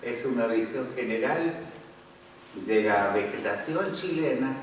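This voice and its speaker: Over noticeable background noise and audible room echo, a man speaks at a very slow pace with medium pitch and lively intonation. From Chile. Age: 80s+. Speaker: author. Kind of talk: book launch talk.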